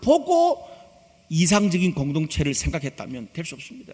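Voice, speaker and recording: With a Gyeongsang accent, a man talks at a fairly slow pace with very wide pitch swings. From Gyeongsang region, South Korea. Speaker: pastor. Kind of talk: sermon.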